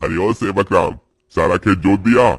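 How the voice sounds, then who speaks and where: A cartoonish character voice from a man, fairly low in pitch, at a moderate pace. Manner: rough, condescending.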